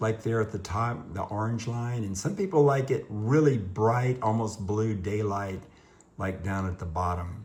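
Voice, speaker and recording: A man's fairly low, somewhat breathy voice at a fairly slow pace with ordinary pitch variation. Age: 60s. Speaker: guitar teacher doing a DIY video. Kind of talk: tutorial. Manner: halting.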